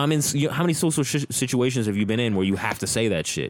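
Talking at a very fast pace, a man sounds animated, with lively intonation. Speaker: podcast co-host. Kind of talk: casual chat.

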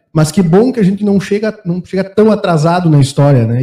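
A man with a dark, mellow tone and a somewhat breathy voice speaks at a moderate pace with lively intonation. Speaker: podcast host. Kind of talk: sponsor reading; casual chat.

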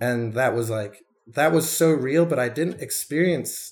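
At a moderate pace, a man with a normal speaking voice and medium pitch uses lively intonation. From London area, moved to Detroit at ten. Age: 30s. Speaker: artist and bartender in recovery. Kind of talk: interview, personal testimony. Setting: at his apartment.

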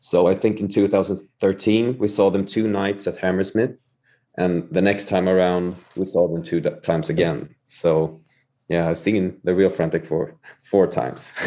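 Very deep, low male voice, dark and mellow, in a Swedish accent, with fairly even intonation and a fairly slow pace against a quiet background. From Sweden. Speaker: musician. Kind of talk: casual chat.

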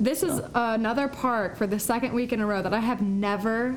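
The woman's voice comes with noticeable background noise and audible room echo. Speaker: podcast host. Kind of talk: casual chat.

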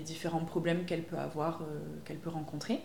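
Noticeable background noise and audible room echo both mark the recording. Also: woman. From southwest France, Pau. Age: 20s. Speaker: naturopath. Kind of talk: casual interview. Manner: hesitant, many fillers.

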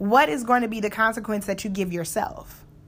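A woman at medium pitch with an ordinary speaking voice and a fairly quick pace, on a very clean recording with a silent background. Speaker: motivational podcast host. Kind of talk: motivational monologue.

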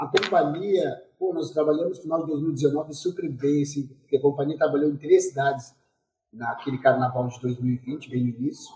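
Using an unremarkable speaking voice, a man talks at a moderate pace with a fairly high pitch and ordinary pitch variation. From southern Brazil, Pelotas. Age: 40s. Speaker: dancer and choreographer. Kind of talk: interview.

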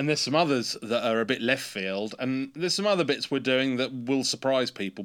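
The speaker has an English accent and ordinary pitch variation. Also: man, very clean recording, silent background. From England. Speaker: pedal company designer and marketer. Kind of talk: casual interview chat.

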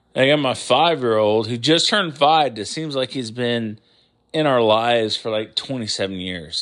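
Recorded very cleanly over a silent background, a man with an American accent speaks at a moderate pace in an unremarkable speaking voice, his medium pitch carried by lively intonation. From New York. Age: 40s. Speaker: podcast host. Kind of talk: casual solo monologue.

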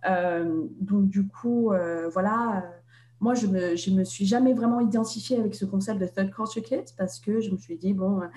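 Her voice is somewhat breathy, with a dark, mellow tone and ordinary pitch variation. The woman speaks at a fairly slow pace. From Vietnam, Hanoi, French-educated. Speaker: author. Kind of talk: interview. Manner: halting, many hesitations.

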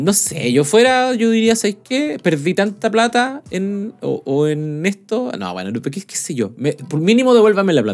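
A man's high voice, fairly slow, with hardly any pauses and very wide pitch swings. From Chile. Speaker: podcast co-host. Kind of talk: casual chat.

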